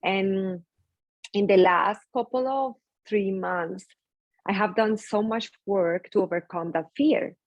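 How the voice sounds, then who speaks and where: With a strong Spanish accent, a woman talks at a very slow pace with long, frequent pauses, a medium pitch and ordinary pitch variation. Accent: thick Spanish. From Colombia. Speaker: skincare business founder. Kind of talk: interview conversation.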